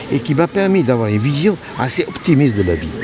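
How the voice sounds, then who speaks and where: A man speaks with very wide pitch swings. Noticeable background noise runs under his voice. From northern Italy, near Venice. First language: Italian (speaking French). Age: 80s+. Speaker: painter. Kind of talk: personal testimony. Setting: outdoors by the sea. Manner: halting.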